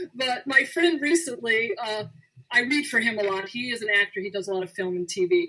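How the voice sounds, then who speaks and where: With an American accent, a woman talks very fast at a high pitch, her voice swinging very widely up and down. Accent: people think she sounds Southern. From Arizona. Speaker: radio show host and actor. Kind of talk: casual chat on a call-in show. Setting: radio show taking calls.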